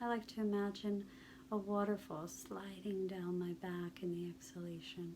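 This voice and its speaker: Soft-spoken, a woman speaks at a fairly slow pace. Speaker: stress reduction guide. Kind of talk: guided relaxation practice.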